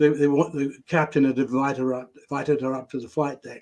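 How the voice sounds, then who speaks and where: A voice with a British accent is heard over a quiet background. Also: man. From Britain. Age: 80s+. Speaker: retired tabloid journalist and novelist. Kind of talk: interview storytelling.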